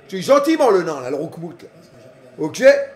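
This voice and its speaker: Over noticeable background noise, a man speaks in an animated tone at an extremely high pitch. His voice makes very wide pitch swings. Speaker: streamer. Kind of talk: live football reaction stream, casual chat. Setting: at home on his couch. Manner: animated, shouting at the match.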